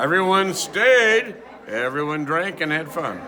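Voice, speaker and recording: There's audible room echo and noticeable background noise. A man speaks at a fairly slow pace with lively intonation. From US Midwest, west suburban Chicago. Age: 60s. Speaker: wedding guest, parent of the couple. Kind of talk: on-camera review interview.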